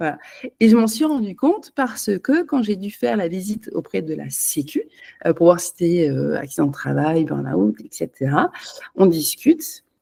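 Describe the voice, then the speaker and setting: Speaking at a moderate pace, a woman's voice shows big swings in loudness. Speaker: holistic energy therapist. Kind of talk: unscripted personal talk to camera. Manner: halting, many hesitations.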